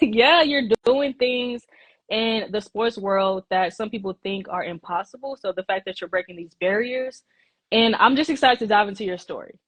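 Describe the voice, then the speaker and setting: A woman with a Texas accent talks at a moderate pace and a fairly high pitch. Her loudness swings widely, while her pitch variation is ordinary. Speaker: interview show host. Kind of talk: video call interview.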